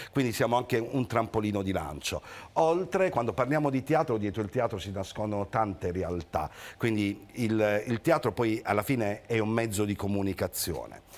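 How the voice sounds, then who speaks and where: A plain, everyday voice comes at a moderate pace with lively intonation. The recording is very clean, with a silent background. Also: man, medium pitch for a man. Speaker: theatre association president. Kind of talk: casual chat. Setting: studio.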